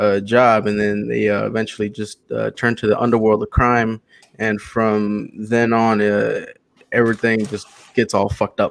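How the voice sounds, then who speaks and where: A man's fairly low voice in an American accent, with monotone, flat intonation. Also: moderate pace. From Texas, Houston. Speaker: comic book creator pitching a campaign. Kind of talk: casual chat.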